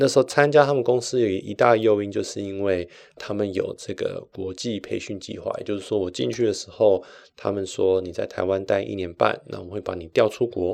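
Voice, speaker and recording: A man with a Taiwanese accent at a moderate pace, big swings in loudness, over a quiet background. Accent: Taiwanese Mandarin. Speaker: podcast host. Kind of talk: personal storytelling monologue.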